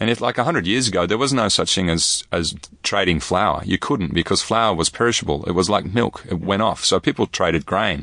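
With a bright, sharp tone and fairly low pitch, a man talks at a fairly quick pace with lively intonation, very even loudness and hardly any pauses. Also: quiet background. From Netherlands until age 9, then Australia. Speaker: designer and cafe founder. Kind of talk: interview.

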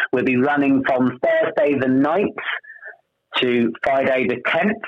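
A man at a fairly high pitch has an ordinary speaking voice with lively intonation. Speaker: amateur pantomime cast member. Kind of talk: friendly radio interview, chatty and promotional. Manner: warm, upbeat and conversational, with frequent 'um' fillers.

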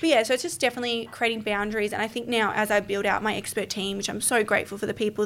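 A woman speaks with an Australian accent. Her pace is very fast. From Melbourne. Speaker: podcast guest, business founder. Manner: fast talker.

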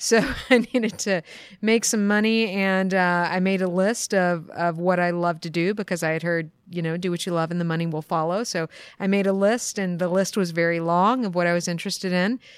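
A woman speaks in a plain, everyday voice with an American accent, at a medium pitch and a fairly quick pace. Her intonation stays fairly even, and the recording is very clean with a silent background. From US East Coast. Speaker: accountant. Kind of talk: interview. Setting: conference.

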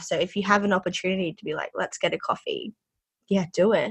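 Speaking with an Australian accent, a woman uses a medium pitch and ordinary pitch variation at a moderate pace. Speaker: podcast host. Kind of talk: casual chat.

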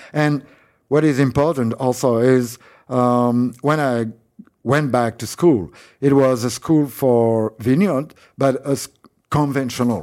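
Very slow and broken by long, frequent pauses, the speech comes in a French accent with ordinary pitch variation. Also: man, medium pitch for a man. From France, Paris. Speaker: winemaker. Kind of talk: interview. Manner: halting.

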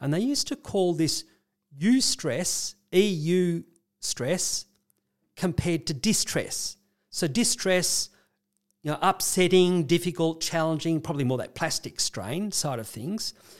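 A man with an Australian accent and a high voice, at a fairly slow pace, on a very clean recording with a silent background. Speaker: clinical psychologist. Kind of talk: casual conversational explanation.

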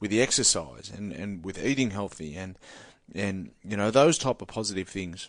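In a strong Australian accent, the speaker keeps a moderate pace against a quiet background. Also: man. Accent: broad Australian. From rural New South Wales, Australia. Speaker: former rugby league player and boxer, mental health speaker. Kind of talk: studio interview. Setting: studio. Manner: halting, many repetitions and fillers.

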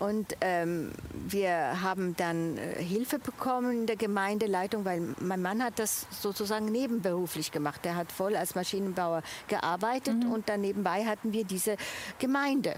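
Over noticeable background noise, a woman with an Italian accent speaks at a moderate pace and a medium pitch. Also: ordinary pitch variation. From Switzerland. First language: Italian (speaking German). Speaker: church volunteer, international café organiser. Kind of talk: testimony. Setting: outdoors in a garden.

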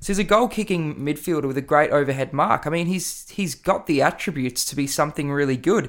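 With an Australian accent, a man talks at a very fast pace in a fairly high pitch with ordinary pitch variation. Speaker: podcast host. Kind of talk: casual sports podcast analysis. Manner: animated, excitable.

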